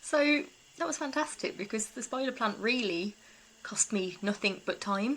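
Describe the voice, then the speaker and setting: Through noticeable background noise, a woman with a British accent speaks at a fairly high pitch with lively intonation. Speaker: eco-living vlogger. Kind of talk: casual vlog talk.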